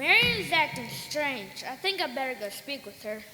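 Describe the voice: A woman's put-on character voice, high-pitched with a bright, sharp tone, big pitch swings, moderate pace and faint background noise.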